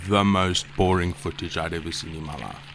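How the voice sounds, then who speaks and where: A man's very deep, low pitch with ordinary pitch variation at a fairly quick pace. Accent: South African. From South Africa. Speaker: video editor and YouTuber. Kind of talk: casual narration.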